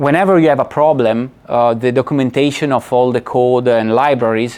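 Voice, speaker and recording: This is a man speaking. He has an Italian accent. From Italy. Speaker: lecturer. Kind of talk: lecture. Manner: halting.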